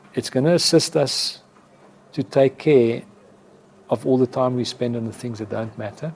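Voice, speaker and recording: With a South African accent, a man speaks at a moderate pace and medium pitch, using ordinary pitch variation and long, frequent pauses. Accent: Afrikaans South African English. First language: Afrikaans. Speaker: advertising executive. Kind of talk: interview.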